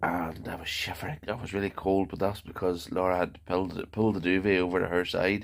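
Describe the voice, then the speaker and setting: A man talks in a Northern Irish accent at a fairly quick pace. His very deep, low voice has monotone, flat intonation. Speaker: vlogger. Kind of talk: video diary.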